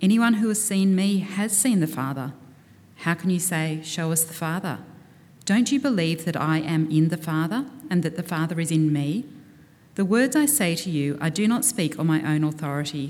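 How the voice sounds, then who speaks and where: Here is a woman with a normal speaking voice and a fairly low pitch. She speaks at a moderate pace with lively intonation. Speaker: scripture reader at church service. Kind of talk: reading aloud. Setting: church.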